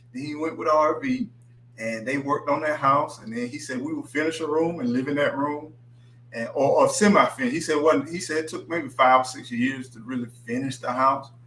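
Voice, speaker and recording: Against noticeable background noise, a man speaks at a fairly quick pace. His tone is animated, with ordinary pitch variation. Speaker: livestream host. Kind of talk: casual chat. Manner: slurs words.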